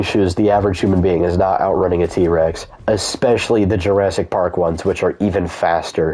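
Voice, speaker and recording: A man talks with an American accent. Background noise is noticeable. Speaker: gaming streamer. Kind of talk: casual chat. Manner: animated.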